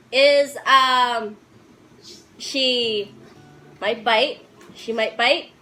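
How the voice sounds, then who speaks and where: Over noticeable background noise, the speech comes at a very slow pace with long, frequent pauses and fairly even intonation. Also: woman, high pitch for a woman. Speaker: youth video presenter. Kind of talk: casual chat. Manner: halting.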